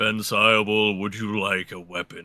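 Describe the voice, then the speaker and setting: A raspy, put-on character voice delivered at a moderate pace. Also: man. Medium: actual play. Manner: curt, stern.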